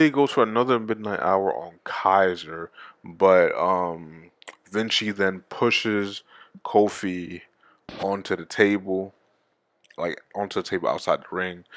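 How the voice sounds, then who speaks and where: Pitched fairly low, a man speaks with ordinary pitch variation. His delivery has long, frequent pauses. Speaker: wrestling show reviewer. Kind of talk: casual solo review. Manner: fast.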